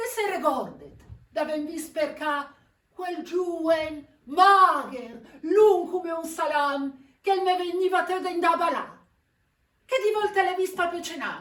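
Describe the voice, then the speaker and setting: With a Milanese accent, a woman with an extremely high-pitched voice speaks at a very slow pace, leaving long, frequent pauses. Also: ordinary pitch variation. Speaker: stage actor. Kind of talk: theatre performance in dialect.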